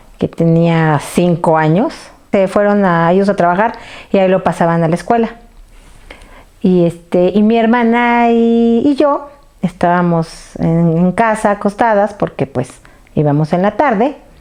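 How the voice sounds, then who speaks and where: A woman with a medium-pitched voice talks at a fairly slow pace, her intonation lively and her loudness very even. Noticeable background noise runs under her speech. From Mexico City. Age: 40s. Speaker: earthquake survivor interviewee. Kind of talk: interview testimony. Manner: halting.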